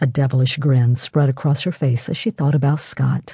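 Her voice is somewhat breathy, with a dark, mellow tone and a very deep, low pitch. The woman speaks against a quiet background. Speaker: audiobook narrator. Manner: steady, measured storytelling pace with voiced dialogue for characters.

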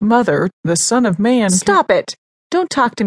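Against a quiet background, the voice is plain reading aloud.

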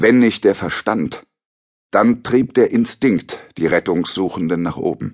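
Recorded dry and close with no echo, a man with a fairly low voice talks very slowly, his pitch varying in an ordinary way. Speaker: audiobook narrator. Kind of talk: dramatic audiobook narration of a shipwreck. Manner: grave, measured, suspenseful.

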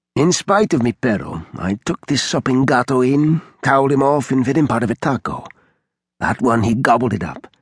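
A man speaks with a Spanish accent, using lively intonation and a warm, animated tone. The sound is dry and close, with no echo. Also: medium pitch for a man, moderate pace. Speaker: audiobook narrator playing a widowed neighbor. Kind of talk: dramatic audiobook narration, in character. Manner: warm, animated, with Spanish phrases sprinkled in.

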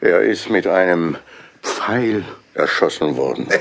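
A man's low, slow put-on character voice with vocal fry and lively intonation.

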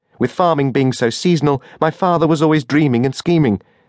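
Against a quiet background, a man talks with a warm tone at a fairly high pitch. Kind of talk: audiobook narration, first-person memoir read aloud. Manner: measured, warm, conversational storytelling with dry humor.

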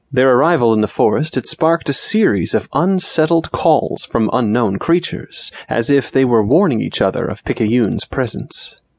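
A man with a medium pitch speaks at a moderate pace with lively intonation and hardly any pauses. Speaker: audiobook narrator. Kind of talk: dramatic fantasy audiobook narration, read aloud with suspense. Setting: studio. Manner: dramatic, tense, gravelly-menace storytelling that builds suspense; animated, shifting to an urgent cry for the flashback.

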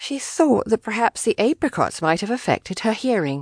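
Over a quiet background, a woman with a fairly high pitch and vocal fry speaks at a moderate pace in an animated, playful tone, her pitch swinging very widely. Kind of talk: audiobook narration of a romance novel. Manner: animated, playful, voicing characters with comic timing.

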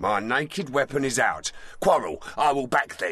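A man at a medium pitch with lively intonation. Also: moderate pace. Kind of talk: Shakespearean stage verse. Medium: audio drama. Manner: boastful, bawdy, aggressive.

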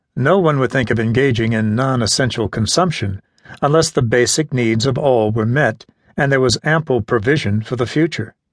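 Against a quiet background, a man with an ordinary speaking voice talks at a moderate pace and medium pitch with ordinary pitch variation. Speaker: audiobook narrator. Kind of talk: audiobook narration of nonfiction, read aloud in a measured, literary style. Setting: studio. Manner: measured, even and formal; earnest, steady pacing with a lecturing tone.

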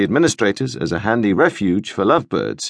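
A normal speaking voice from a man, fairly low in pitch, at a fairly quick pace with ordinary pitch variation and a quiet background. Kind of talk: scripted audiobook narration, first-person comic memoir voice.

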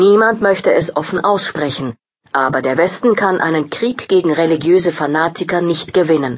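In a normal speaking voice, a woman talks at a moderate pace with a fairly low pitch and lively intonation. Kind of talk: news-style headline reading, table of contents. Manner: brisk, neutral, formal.

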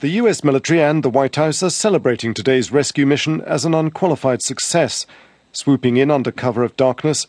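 A man with a British accent speaks at a fairly quick pace with ordinary pitch variation. The sound is dry and close, with no echo. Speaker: security correspondent. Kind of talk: news report.

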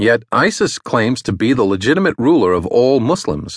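A man's medium-pitched voice with vocal fry moves at a moderate pace through very wide pitch swings, recorded dry and close with no echo over a quiet background. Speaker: audiobook narrator. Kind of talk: audiobook narration of a foreign-affairs essay, read aloud. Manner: formal, even and measured; steady, authoritative news-analysis delivery.

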